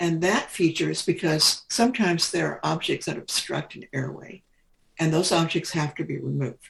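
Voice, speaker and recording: A woman with a Midwestern accent speaks at a moderate pace with big swings in loudness. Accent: General American (Midwest). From Kansas, US Midwest. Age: 70s. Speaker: retired nurse. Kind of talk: interview. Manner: halting, with many fillers.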